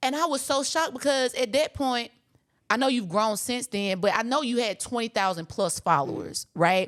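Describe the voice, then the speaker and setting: Loud, animated delivery with lively intonation. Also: woman, high pitch for a woman, moderate pace. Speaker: podcast host. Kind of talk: casual interview chat.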